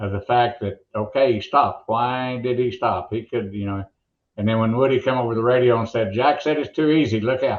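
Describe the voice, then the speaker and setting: A man in an Oklahoma accent, medium pitch, ordinary pitch variation. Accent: Oklahoma drawl. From rural Oklahoma. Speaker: motorsports announcer. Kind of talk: interview storytelling.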